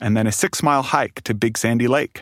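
On a very clean recording with a silent background, a man with a normal speaking voice talks at a moderate pace and medium pitch. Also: dry, close sound with no echo. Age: 30s. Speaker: storyteller. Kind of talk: storytelling.

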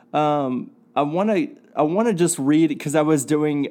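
Dark and mellow in tone, a man's voice sits at a fairly high pitch with ordinary pitch variation. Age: 30s. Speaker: podcast host. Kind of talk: solo podcast monologue. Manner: halting, many filler words and restarts.

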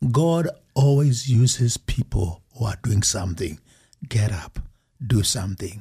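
A man's fairly low, dark, mellow, somewhat breathy voice with lively intonation, a fairly slow pace and long, frequent pauses. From Kenya. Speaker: ministry founder and motivational speaker. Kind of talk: casual interview.

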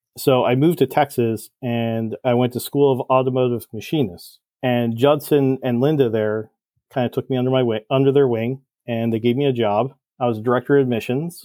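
An ordinary speaking voice from a man with an American accent, medium in pitch, fairly quick, with fairly even intonation. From New Jersey. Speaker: cylinder head porter and engine builder. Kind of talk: podcast interview.

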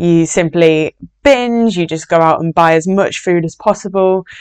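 A woman's fairly low voice with a Yorkshire accent, moderate in pace, dry and close with no echo, over a quiet background. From Yorkshire, northern England. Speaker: binge eating recovery coach. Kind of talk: podcast monologue.

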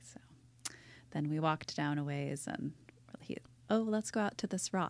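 Speaking with an American accent at a moderate pace, a woman with a very deep, low pitch uses lively intonation. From Seattle. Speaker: pastor's wife. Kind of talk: casual interview. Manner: halting.

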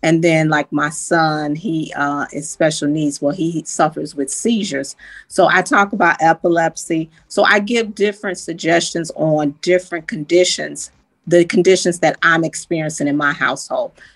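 Against a quiet background, a woman with an unremarkable speaking voice talks at a moderate pace, fairly low in pitch with ordinary variation. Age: 60s. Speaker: health coach and family caregiver. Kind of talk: casual chat.

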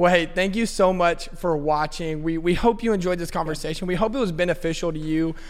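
Pitched high, a man speaks at a fairly quick pace with hardly any pauses and fairly even intonation. Audible room echo and noticeable background noise surround the voice. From Texas, Fort Worth. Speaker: children's ministry coordinator. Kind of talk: casual chat.

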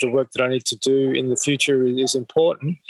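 Fairly even intonation marks this man speaking in an Australian accent. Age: 50s. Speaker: mental health charity founder. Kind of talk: interview. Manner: halting, many fillers.

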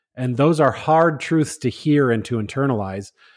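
Against a silent background in a very clean recording, a man uses an ordinary speaking voice with lively intonation at a fairly slow pace. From Minnesota. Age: 40s. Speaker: podcast guest, friend of hosts. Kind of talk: casual chat.

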